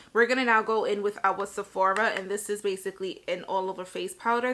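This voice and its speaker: This woman's voice sits at a medium pitch, with a bright, sharp tone and monotone, flat intonation. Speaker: beauty vlogger. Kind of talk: tutorial. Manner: casual, chatty.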